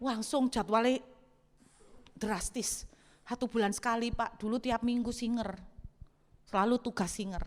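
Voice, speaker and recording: Her delivery comes at a fairly slow pace, and this woman keeps a fairly even intonation. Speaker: pastor. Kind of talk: sermon.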